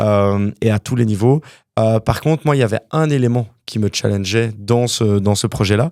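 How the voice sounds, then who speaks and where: On a very clean recording with a silent background, a man with a normal speaking voice talks at a moderate pace and medium pitch, with ordinary pitch variation and very even loudness. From Quebec, Montreal (born in Wallonia, Belgium, moved at 9). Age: 30s. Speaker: property developer, entrepreneur. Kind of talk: interview conversation.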